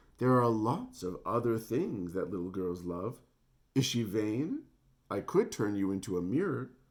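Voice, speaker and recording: A booming, put-on character voice from a man, medium in pitch, with lively intonation and a moderate pace. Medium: read story.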